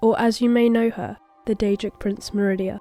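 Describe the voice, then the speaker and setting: Over music in the background, a woman speaks at a moderate pace with fairly even intonation. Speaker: digital artist. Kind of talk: art timelapse narration with game lore.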